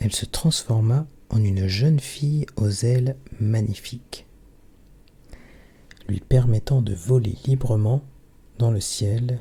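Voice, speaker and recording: Soft-spoken and somewhat breathy, a man talks at a medium pitch with a dark, mellow tone and ordinary pitch variation. He goes at a very slow pace with long, frequent pauses. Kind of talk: bedtime story reading.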